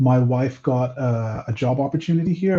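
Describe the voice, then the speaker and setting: Over a quiet background, a man speaks at a medium pitch in a dark, mellow, somewhat breathy voice. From Nigeria (Lagos). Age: 40s. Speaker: comic book writer. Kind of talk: interview.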